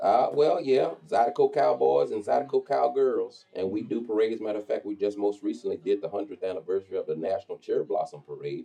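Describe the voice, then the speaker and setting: In a Texas accent, a man rattles along at a very fast pace with hardly any pauses. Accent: Texas accent, kept. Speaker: radio host and zydeco promoter. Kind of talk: interview.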